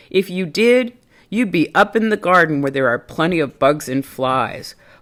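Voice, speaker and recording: A woman's put-on character voice, fairly low in pitch, at a moderate pace in a very clean recording with a silent background. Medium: read story.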